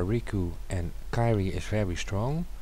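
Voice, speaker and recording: A soft-spoken man talks with ordinary pitch variation. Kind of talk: casual talk to camera, tag video reply. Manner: hesitant, many filler words.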